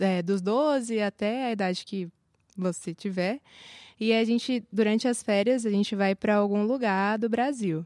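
A woman with an unremarkable speaking voice talks at a medium pitch and a fairly slow pace. The sound is dry and close with no echo, on a very clean recording with a silent background. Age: 20s. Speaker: seminary student. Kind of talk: casual interview.

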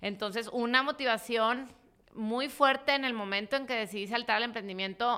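A woman speaks in a Mexican accent with a bright, sharp tone. Her intonation stays fairly even at a moderate pace. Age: 40s. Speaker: entrepreneur and investor. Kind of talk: casual interview.

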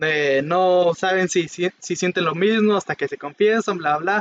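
A man with a Mexican accent speaks at a moderate pace. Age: 20s. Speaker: podcast co-host. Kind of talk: casual chat.

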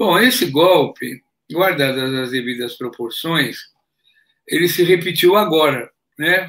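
Lively intonation marks this man's high-pitched speech, delivered at a very slow pace with long, frequent pauses. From Brazil, São Paulo city. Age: 70s. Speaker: former politician and geologist. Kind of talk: interview.

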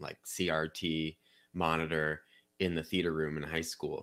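A man's very deep, low voice in a Midwestern American accent at a fairly slow pace. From Missouri, St. Louis County (Chesterfield). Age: 30s. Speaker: democracy reform advocate, nonprofit CEO. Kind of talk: interview.

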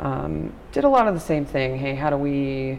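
A woman's very deep, low voice with an American accent, at a moderate pace amid noticeable background noise and audible room echo. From New York, Long Island (Nassau County). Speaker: nonprofit technology analyst. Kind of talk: casual interview. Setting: hallway at a conference.

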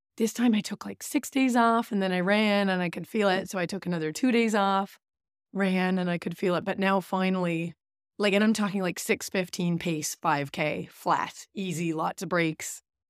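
On a very clean recording with a silent background, a woman uses an unremarkable speaking voice at a medium pitch and moderate pace, with ordinary pitch variation and a dry, close sound with no echo. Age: 30s. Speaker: running podcast co-host, coach. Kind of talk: casual chat.

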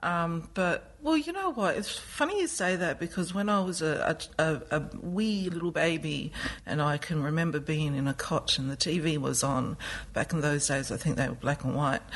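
Speaking with an Australian accent at a moderate pace, the voice holds very even loudness and ordinary pitch variation. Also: woman, fairly low pitch for a woman. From west coast of South Australia. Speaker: choreographer and dancer. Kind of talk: interview. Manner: halting, many fillers.

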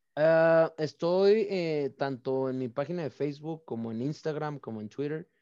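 A quiet backdrop sits behind the speaker. The tone is dark and mellow. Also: man. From Mexico, Baja California (Mexicali). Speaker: olympic archer. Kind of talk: interview.

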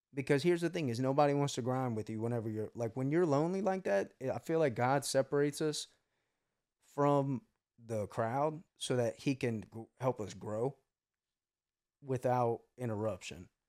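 A man with an American accent and an ordinary speaking voice talks at a moderate pace and medium pitch with ordinary pitch variation, on a very clean recording with a silent background. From US South. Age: 20s. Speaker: podcast host, business owner. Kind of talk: casual chat.

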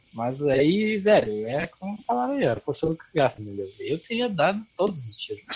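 The speech moves at a moderate pace with hardly any pauses. Noticeable background noise is present. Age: 20s. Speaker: podcast co-host. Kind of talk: casual chat.

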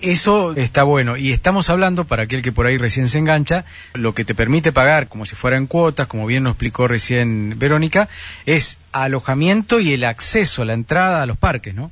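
Speaking fairly quickly with an Argentine accent, a man at medium pitch uses lively intonation. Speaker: radio host. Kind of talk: radio interview.

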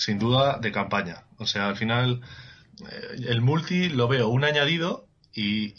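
Noticeable noise is present behind the speech. Pitch moves with ordinary variation. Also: man. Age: 20s. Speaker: podcast listener guest. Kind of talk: casual chat.

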